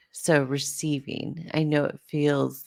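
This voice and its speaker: Soft-spoken, this woman talks at a very deep, low pitch. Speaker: podcast host, spiritual guide. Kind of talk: podcast monologue. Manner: halting.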